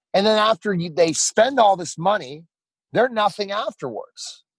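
An animated man with a high pitch speaks at a moderate pace in a dry, close sound with no echo. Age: 40s. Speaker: radio host and former professional wrestler. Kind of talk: interview.

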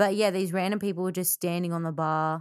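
A woman talks at a very fast pace. Her pitch is fairly low, with fairly even intonation. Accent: Australian. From Australia. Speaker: podcast co-host and musician. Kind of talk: casual chat.

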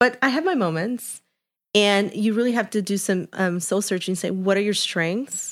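A woman's medium-pitched voice in a Chicago accent, at a moderate pace with ordinary pitch variation, on a very clean recording with a silent background. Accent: Chicago American English. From Chicago, Little Village. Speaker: HR executive and author. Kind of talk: interview conversation. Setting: studio.

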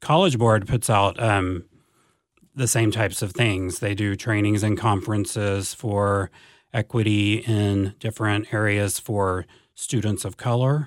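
A man with a normal speaking voice talks at a fairly slow pace in a fairly low pitch with fairly even intonation on a very clean recording with a silent background. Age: 40s. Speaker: school district advanced academics coordinator. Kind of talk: interview conversation.

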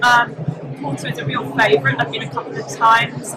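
A woman's pitch swings very widely as noticeable noise fills the background. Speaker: property journalist. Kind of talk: casual interview. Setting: live at a property show. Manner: halting.

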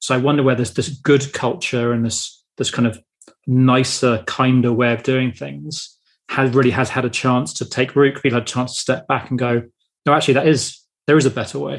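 A man talks at a fairly quick pace with a British accent. His intonation stays fairly even. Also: medium pitch for a man. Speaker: podcast host. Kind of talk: interview.

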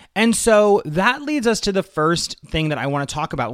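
A man talks at a moderate pace with lively intonation. His is a plain, everyday voice. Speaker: podcast host and online marketing coach. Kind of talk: promotional pitch and teaching monologue.

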